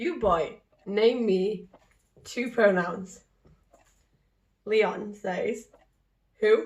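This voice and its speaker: Very slowly, a woman speaks in a fairly high pitch, somewhat breathy, with ordinary pitch variation. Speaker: book youtuber. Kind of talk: casual chat. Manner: eating while talking.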